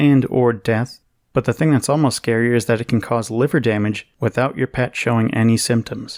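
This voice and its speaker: A soft-spoken man with an American accent talks at a fairly quick pace, his medium pitch carried on fairly even intonation. The recording is very clean with a silent background, and the sound is dry and close with no echo. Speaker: news podcast host. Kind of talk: news podcast monologue.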